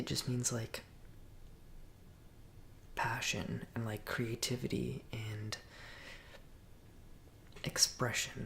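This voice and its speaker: Someone whispers at a very slow pace in a relaxed tone, leaving long, frequent pauses. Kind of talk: ASMR Q and A, soft spoken talk to camera. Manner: soft-spoken, relaxed.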